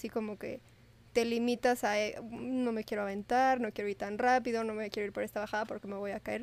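On a very clean recording with a silent background, a woman in an unremarkable speaking voice talks at a moderate pace, her pitch varying in an ordinary way. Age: 20s. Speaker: medical student. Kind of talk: casual chat.

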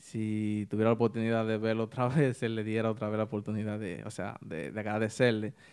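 A normal speaking voice at a fairly quick pace with hardly any pauses, on a very clean recording with a silent background. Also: man, fairly low pitch for a man. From Dominican Republic, Santiago Rodríguez (northwest line). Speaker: saxophonist, typical music musician. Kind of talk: interview, casual chat. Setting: studio.

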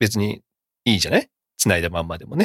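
The recording is very clean and dry, close with no echo and a silent background. A man with vocal fry speaks, his pitch swinging very widely. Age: 40s. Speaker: podcast host. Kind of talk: casual chat. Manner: animated.

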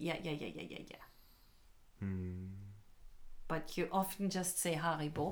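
A woman's very deep, low voice with very wide pitch swings at a very slow pace, full of long, frequent pauses, amid noticeable background noise and audible room echo. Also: big swings in loudness. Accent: German. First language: German (speaking Japanese). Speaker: English school owner and teacher. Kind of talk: casual chat.

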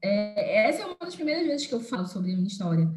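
A woman rattles along at a very fast pace, her pitch swinging very widely. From Belém, Pará, northern Brazil. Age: 20s. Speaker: engineer and youth leader. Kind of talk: podcast interview testimony.

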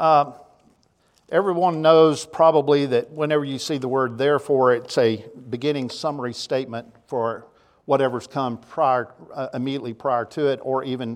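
There is a quiet background behind a man at medium pitch. He speaks in a Tennessee accent. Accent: Southern US (Tennessee). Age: 60s. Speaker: preacher. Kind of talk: sermon. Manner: halting, frequent repetitions.

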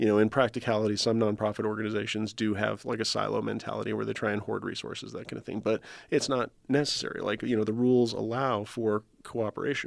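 A man races along at a very fast pace in a monotone, flat intonation on a very clean recording with a silent background. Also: fairly low pitch for a man. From New Mexico. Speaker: nonprofit founder and podcast host. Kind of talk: casual chat. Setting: recording room. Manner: halting, many fillers and repetitions.

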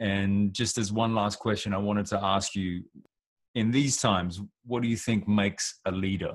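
A man speaks with an Australian accent. His pitch is fairly low and his intonation fairly even. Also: moderate pace, very even loudness. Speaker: podcast host and rapper. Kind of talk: casual interview chat.

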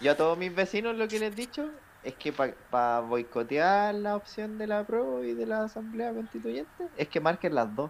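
His pitch high and swinging very widely, a man speaks at a moderate pace. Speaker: podcast co-host. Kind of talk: casual chat.

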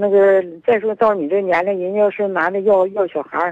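A woman is speaking at a medium pitch. She keeps a moderate pace. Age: 60s. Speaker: caller, mother of unmarried daughter. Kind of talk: phone-in chat. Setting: phone call. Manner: halting.

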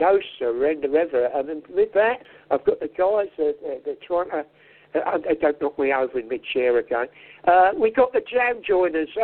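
With very wide pitch swings, a man speaks in a high voice at a moderate pace. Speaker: radio co-host. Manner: halting, filler-heavy.

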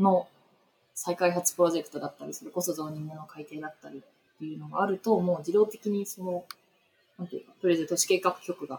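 Talking at a fairly quick pace, a woman has a fairly low pitch and ordinary pitch variation. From Tokyo, Japan. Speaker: urban planning consultant. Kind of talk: interview conversation. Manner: hesitant with many fillers.

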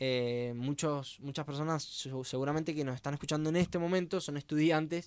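Against a very clean recording with a silent background, a man talks at a fairly high pitch and a moderate pace. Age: 20s. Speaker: university student, podcast co-host. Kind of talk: casual podcast chat. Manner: halting.

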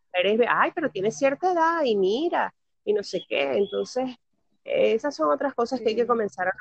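At a moderate pace, a woman speaks with very wide pitch swings in a dry, close sound with no echo. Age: 30s. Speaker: podcast guest. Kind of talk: casual chat.

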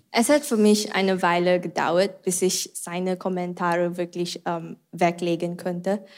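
At a fairly slow pace with hardly any pauses, a woman with a non-native accent speaks at a medium pitch with fairly even intonation. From Malaysia. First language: not German (speaking German). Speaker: church member. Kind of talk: testimony.

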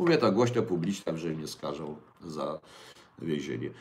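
A man speaks at a moderate pace. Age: 60s. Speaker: livestream host. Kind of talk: casual livestream talk with viewer questions. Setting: home kitchen.

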